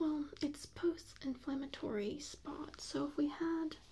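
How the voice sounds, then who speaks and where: Soft-spoken and calm, a woman with a high pitch talks in a gentle tone at a very slow pace with fairly even intonation. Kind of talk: ASMR medical roleplay, soft spoken personal attention. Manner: soft-spoken, calm, gentle.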